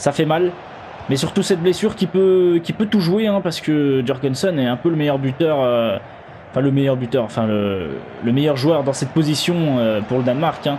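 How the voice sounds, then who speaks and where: A man's fairly high voice with lively intonation and very even loudness over noticeable background noise. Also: moderate pace. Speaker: gaming youtuber. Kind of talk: live commentary. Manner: animated.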